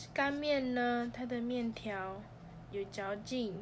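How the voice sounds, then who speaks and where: Very slow speech from a woman with a fairly high pitch and ordinary pitch variation, plus audible room echo. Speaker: student podcast host. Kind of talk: scripted podcast monologue.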